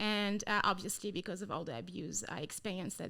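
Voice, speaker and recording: A woman with a French accent speaks with lively intonation, a bright, sharp tone and vocal fry. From France. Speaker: anti-trafficking missionary, trafficking survivor. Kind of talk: interview testimony. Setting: training center.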